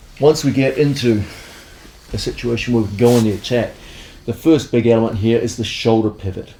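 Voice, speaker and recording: Over noticeable background noise, a man talks at a fairly quick pace with fairly even intonation and long, frequent pauses. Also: medium pitch for a man. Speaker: grappling instructor. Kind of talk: instructional tutorial.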